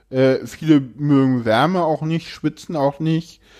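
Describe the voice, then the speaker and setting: An unremarkable speaking voice, a man talks at a fairly slow pace with fairly even intonation against a quiet background. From Berlin, Germany. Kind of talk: casual interview conversation.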